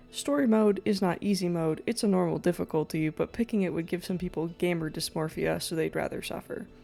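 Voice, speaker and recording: A woman's fairly low pitch at a fairly quick pace with hardly any pauses, over music in the background. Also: ordinary pitch variation. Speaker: video essayist. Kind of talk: video essay. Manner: casual.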